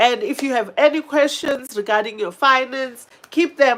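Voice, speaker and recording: A woman speaks in an animated, bright and sharp tone with lively intonation. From South Africa. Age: 50s. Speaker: YouTuber, finance and travel vlogger. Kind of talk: live stream chat.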